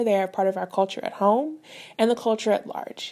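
A woman speaks fairly quickly in a plain, everyday voice with an American accent, her medium pitch held to a fairly even intonation. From US Midwest, St. Louis, Missouri. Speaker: dietitian, podcast host. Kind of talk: solo podcast monologue. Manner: conversational.

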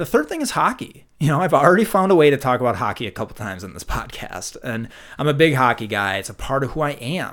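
A man with a Minnesotan accent talks at a very fast pace, his medium pitch swinging very widely, with vocal fry. The recording is very clean, with a silent background. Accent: Minnesota. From Minnesota, US Midwest. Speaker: podcast host. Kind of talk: casual conversational podcast discussion. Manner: enthusiastic, animated.

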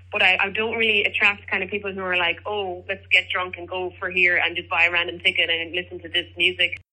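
A woman in an Irish accent, medium-pitched and very fast, with hardly any pauses, flat monotone intonation and vocal fry. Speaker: singer-songwriter and teacher. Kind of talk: interview.

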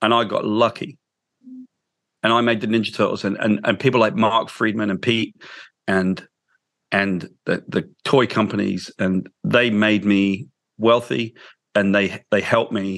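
A man with a British accent speaks at a fairly slow pace in a fairly low pitch, leaving long, frequent pauses against a quiet background. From England. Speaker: comic book writer. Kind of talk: interview. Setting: video call.

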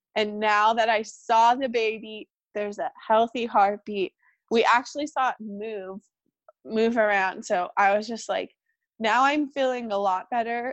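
A woman with an American accent and an ordinary speaking voice talks at a fairly slow pace in a fairly high pitch with ordinary pitch variation, the sound dry and close with no echo and the background quiet. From California. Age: 20s. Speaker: podcast guest sharing miscarriage story. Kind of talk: personal testimony in casual interview.

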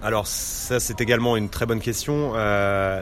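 A man's fairly low voice moves at a fairly slow pace with fairly even intonation. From Normandy, France. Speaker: business development manager. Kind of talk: interview. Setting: restaurant tea room. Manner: halting, many hesitations.

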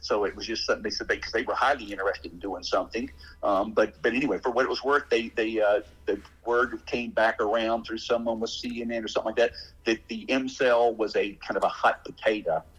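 A man in an Alabama accent at a very fast pace. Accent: Southern US (Alabama). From US South, Alabama. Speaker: father of a patient. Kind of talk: casual interview conversation.

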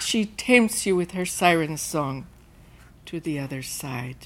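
In a very clean recording with a silent background, a woman speaks at a very slow pace with ordinary pitch variation. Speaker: storyteller performing personal story. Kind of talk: live storytelling performance. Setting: stage with audience.

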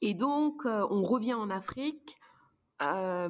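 A woman's normal speaking voice, fairly high-pitched, with lively intonation. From Luxembourg. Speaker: neuropsychologist. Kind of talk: casual interview.

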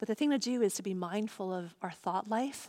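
In an American accent, a woman with an unremarkable speaking voice and medium pitch talks at a moderate pace on a very clean, silent, dry and close recording with no echo. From US Northeast, Long Island, New York. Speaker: pastor. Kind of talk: sermon.

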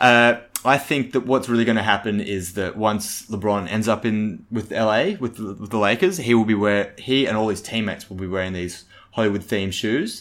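Recorded very cleanly against a silent background, a normal speaking voice goes at a moderate pace. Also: man, fairly low pitch for a man. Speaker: podcast co-host. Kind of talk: comedic sports podcast banter. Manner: deadpan, jokey.

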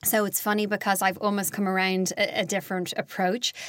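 Speaking fairly quickly with an Irish accent, a woman keeps a medium pitch and a monotone, flat intonation. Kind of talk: interview.

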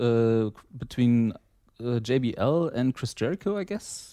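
Using a dark, mellow tone, a man speaks at medium pitch with a German accent. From East Germany. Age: 30s. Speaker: wrestling fan, podcast listener. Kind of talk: casual chat.

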